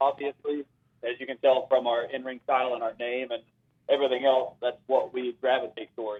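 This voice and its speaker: A man with an American accent talks at a fairly quick pace in a medium pitch, his intonation monotone and flat. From US South, Asheville, western North Carolina. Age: 30s. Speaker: pro wrestler. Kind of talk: interview.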